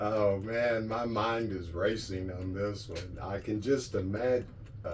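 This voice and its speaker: Audible room echo surrounds a fairly slow delivery with fairly even intonation. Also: man, fairly low pitch for a man. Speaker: sailing vlogger. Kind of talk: casual chat.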